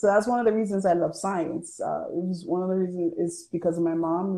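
A woman with an American accent speaks at a fairly quick pace and a fairly low pitch. Her tone is dark and mellow, her intonation fairly even. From New York. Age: 20s. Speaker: church volunteer. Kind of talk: casual chat. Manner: halting.

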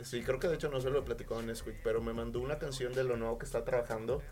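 A man speaks amid audible room echo. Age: 20s. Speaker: musician. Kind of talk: casual chat.

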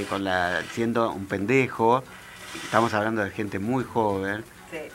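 A man's medium-pitched voice at a fairly slow pace, with music in the background. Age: 40s. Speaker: author. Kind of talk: interview.

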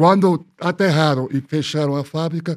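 In a very clean recording with a silent background, a man with a Spanish accent speaks with ordinary pitch variation. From Peru, Lima (Miraflores). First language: Spanish (speaking Portuguese). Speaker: architect. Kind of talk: interview storytelling.

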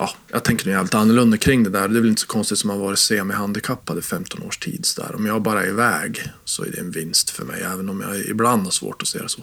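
A man with a fairly low pitch rattles along at a very fast pace with hardly any pauses, ordinary pitch variation and noticeable background noise. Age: 40s. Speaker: games magazine editor-in-chief. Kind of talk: casual chat. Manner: halting.

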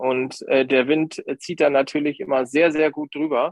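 Fairly even intonation marks a man's speech, which proceeds at a fairly slow pace. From Lower Saxony, Grafschaft Bentheim near Dutch border. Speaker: nature photographer. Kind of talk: podcast interview. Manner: hesitant, many fillers.

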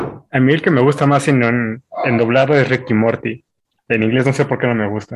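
A man speaks with a Mexican accent at a medium pitch. His intonation stays fairly even. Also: moderate pace. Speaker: university student. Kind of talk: casual chat.

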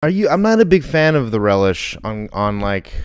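Medium-pitched male voice with very wide pitch swings at a moderate pace. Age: 30s. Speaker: podcast host. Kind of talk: casual chat. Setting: live stream.

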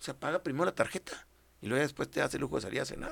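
A man rattles off his words at a very fast pace. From Mexico, Delicias, Chihuahua. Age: 60s. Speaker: politician, former mayor and federal deputy. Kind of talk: interview.

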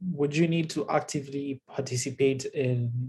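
A man's voice has a dark, mellow tone and sounds somewhat breathy. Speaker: podcast host. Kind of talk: casual chat.

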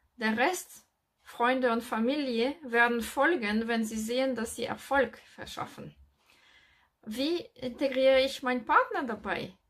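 A woman with a French accent, a high pitch and ordinary pitch variation at a fairly slow pace. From France. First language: French (speaking German). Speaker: real estate investor and business coach. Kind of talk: video monologue with advice. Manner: halting, with fillers.

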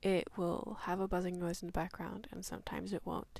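A woman whispers on a very clean recording with a silent background. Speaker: podcast host. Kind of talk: casual chat. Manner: whispery; talkative.

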